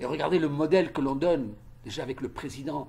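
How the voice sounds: A man speaks in a fairly high voice with a Tunisian accent, somewhat breathy and dark, mellow in tone. His pace is fairly quick, and his pitch moves in an ordinary way. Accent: Tunisian-inflected French.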